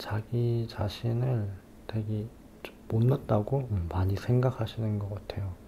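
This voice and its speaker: At a very slow pace, a man with a fairly low pitch speaks in a relaxed, somewhat breathy, dark and mellow tone with fairly even intonation. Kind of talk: ASMR advice talk for sleep, soft spoken to listener. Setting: recorded at home at dawn with car noise outside. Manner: soft-spoken, slow, relaxed.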